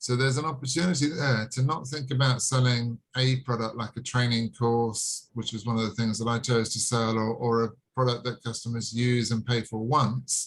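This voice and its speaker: Somewhat breathy, a man talks at a moderate pace and medium pitch with fairly even intonation. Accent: strong British. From England. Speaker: online sales presenter. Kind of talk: video call sales presentation. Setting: video call.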